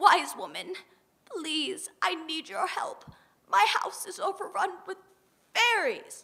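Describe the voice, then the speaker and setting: This female-sounding put-on character voice is pitched extremely high. It moves at a fairly slow pace with long, frequent pauses. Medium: read story. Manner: complaining.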